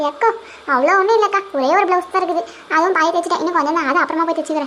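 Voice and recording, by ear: A woman performs a cartoonish character voice at an extremely high pitch. She talks very fast, her loudness very even throughout.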